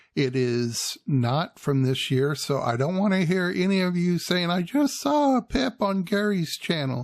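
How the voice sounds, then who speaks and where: The speech moves at a fairly slow pace with very wide pitch swings and hardly any pauses, on a very clean recording with a silent background. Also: man, high pitch for a man, very even loudness. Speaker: wildlife video creator. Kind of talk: narrated video commentary. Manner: soft-spoken.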